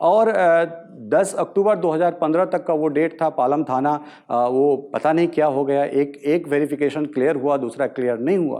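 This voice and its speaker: The man's voice has a dark, mellow tone and ordinary pitch variation. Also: fairly high pitch for a man, moderate pace, quiet background. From Madhubani, Bihar. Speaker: journalist, news portal founder. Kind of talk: motivational talk.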